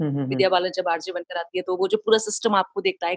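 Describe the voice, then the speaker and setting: Moderate-paced speech with a dry, close sound and no echo. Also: woman. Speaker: radio jockey. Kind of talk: interview answer.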